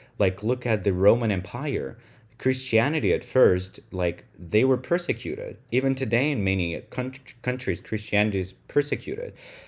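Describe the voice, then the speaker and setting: Heard on a very clean recording with a silent background, a man speaks with a Russian accent. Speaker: podcast host. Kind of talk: solo monologue podcast. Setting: home room recording.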